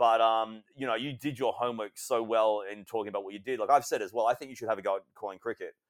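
A man with an Australian accent speaks at a very fast pace with hardly any pauses, at a medium pitch and with fairly even intonation. His loudness swings widely, and the sound is dry and close with no echo. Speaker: wrestling and basketball commentator. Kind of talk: casual interview chat.

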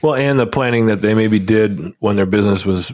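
A man talks in a Midwestern accent. His pace is fairly quick. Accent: general Midwestern American. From Nebraska, US Midwest. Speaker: podcast co-host, financial advisor. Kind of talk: casual chat.

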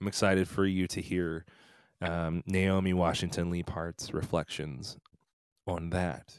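A man with an American accent, very deep and low in pitch, monotone and flat in intonation, on a very clean recording with a silent background. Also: dry, close sound with no echo. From central Pennsylvania, US. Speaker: podcast host. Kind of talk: solo monologue to camera. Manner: unscripted, halting with fillers.

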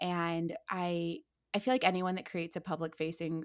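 Against a silent background in a very clean recording, a woman with an American accent speaks at a fairly low pitch in a flat, monotone way. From Ohio, US Midwest. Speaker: entertainment industry worker and social media creator. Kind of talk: casual chat.

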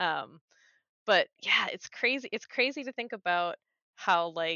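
A woman speaks at a fairly slow pace with lively intonation and a medium pitch. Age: 30s. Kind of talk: casual chat. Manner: halting.

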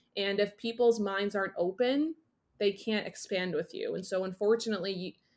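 Over a silent background in a very clean recording, a woman with a medium-pitched voice and an American accent speaks at a moderate pace with fairly even intonation, an ordinary speaking voice. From US Northeast. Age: 20s. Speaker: confidence coach. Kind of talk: casual interview.

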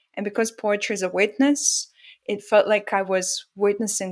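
Woman with a Russian accent talking at a fairly quick pace. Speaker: author and poet. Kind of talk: interview. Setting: video call.

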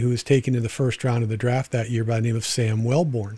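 Somewhat breathy and dark, mellow in tone, a man speaks at a medium pitch with monotone, flat intonation. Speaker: podcast host and former sports agent. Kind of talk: interview.

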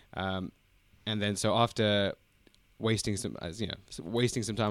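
A man's fairly low voice with a London accent at a fairly quick pace, in a very clean recording with a silent background. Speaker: podcaster.

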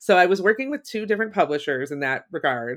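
With an American accent, a woman speaks at a moderate pace with lively intonation, in a very clean recording with a silent background and a dry, close sound with no echo. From Ohio, US Midwest. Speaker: writer and creativity course facilitator. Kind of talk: interview, casual chat.

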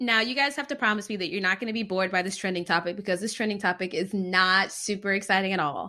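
Against a quiet background, a woman with a medium pitch speaks at a very fast pace with hardly any pauses, her animated voice bright and sharp in tone, with ordinary pitch variation. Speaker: physician podcast host. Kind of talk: casual chat. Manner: animated, joking.

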